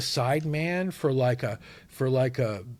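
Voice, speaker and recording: In a very clean recording with a silent background, a man speaks at a medium pitch with lively intonation and a somewhat breathy sound. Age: 60s. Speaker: musician. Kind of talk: casual chat.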